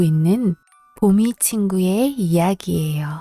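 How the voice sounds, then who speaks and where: A soft-spoken woman talks at a very slow pace in a gentle tone, medium pitch and ordinary pitch variation. The sound is dry and close with no echo, and music plays in the background. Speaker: storybook reader. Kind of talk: bedtime story reading. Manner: soft, gentle.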